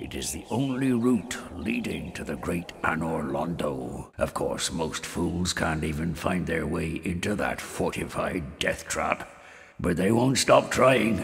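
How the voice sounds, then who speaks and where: A man at a fairly slow pace, with clear background noise. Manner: sardonic, scornful.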